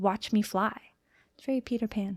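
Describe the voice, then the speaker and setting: In a dry, close sound with no echo and a silent background on a very clean recording, a woman with an ordinary speaking voice talks at a fairly quick pace. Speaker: aspiring novelist and vlogger. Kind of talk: motivational pep talk to camera.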